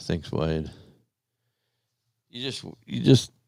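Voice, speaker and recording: In an Australian accent, a man talks at a very slow pace with very wide pitch swings. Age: 60s. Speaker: live stream host. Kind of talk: casual chat. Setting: live stream. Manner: halting.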